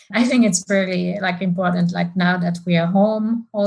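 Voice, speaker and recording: A woman speaks in a somewhat breathy voice. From France. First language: French. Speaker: market research executive and amateur runner. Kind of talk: podcast interview.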